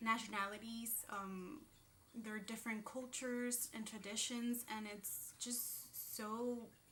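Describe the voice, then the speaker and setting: This woman speaks very slowly with a Spanish accent and a fairly high pitch. Audible room echo surrounds her voice. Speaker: booktuber. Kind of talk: casual vlog talk. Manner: hesitant, many fillers.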